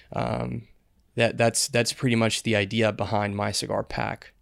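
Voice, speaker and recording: In an American accent with vocal fry, the speaker talks at a fairly slow pace with fairly even intonation, on a very clean recording against a silent background. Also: man. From Dominican Republic (Santiago). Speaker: cigar subscription business owner. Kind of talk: casual interview. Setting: studio. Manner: hesitant, many fillers and repeats.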